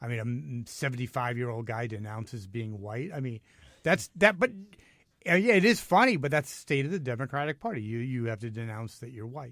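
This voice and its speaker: A man with an American accent uses an ordinary speaking voice at medium pitch, talking fairly quickly with lively intonation and big swings in loudness. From New York City. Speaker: radio host. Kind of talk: talk radio discussion. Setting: radio studio.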